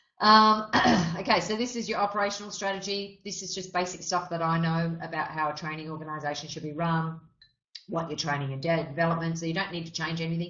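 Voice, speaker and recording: Very fast and fairly even in intonation, a woman with an Australian accent speaks at a fairly low pitch amid audible room echo. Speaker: RTO business consultant running a member webinar. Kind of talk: webinar presentation. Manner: casual, with frequent fillers.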